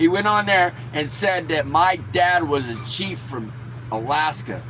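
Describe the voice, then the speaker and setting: A man's animated, fairly slow delivery, fairly high in pitch with lively intonation, amid noticeable background noise and audible room echo. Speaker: YouTuber. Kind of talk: angry rant.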